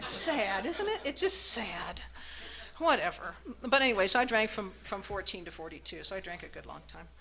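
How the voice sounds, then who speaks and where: Delivered at a moderate pace with long, frequent pauses, the speech swings widely in loudness over noticeable background noise. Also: woman. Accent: American. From Arizona, US. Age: 60s. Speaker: recovering alcoholic speaker. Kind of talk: recovery meeting testimony. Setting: meeting room with audience. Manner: halting, with many fillers.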